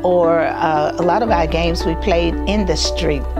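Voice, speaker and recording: Over clear background music, a woman with an American accent talks at a fairly slow pace. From North Titusville, Florida. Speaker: oral history interviewee. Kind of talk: interview answer. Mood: warm, nostalgic, smiling. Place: office. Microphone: lapel.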